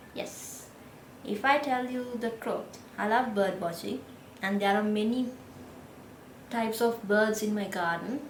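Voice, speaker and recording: With a Sri Lankan accent, a woman speaks fairly slowly at a fairly high pitch with fairly even intonation and long, frequent pauses, over noticeable background noise and audible room echo. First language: Sinhala. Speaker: 3D designer and vlogger. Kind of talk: casual vlog talk.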